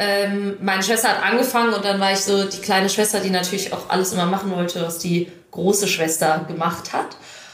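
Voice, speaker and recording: A woman's medium-pitched voice at a fairly quick pace with hardly any pauses, audible room echo and noticeable background noise. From western Germany, Düsseldorf and Krefeld. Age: 20s. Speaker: national field hockey player. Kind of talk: casual interview.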